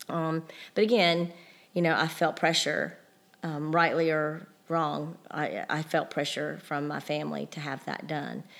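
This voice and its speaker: A woman speaks at a fairly slow pace with a very deep, low pitch, vocal fry and fairly even intonation. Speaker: mother of the host. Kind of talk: casual chat.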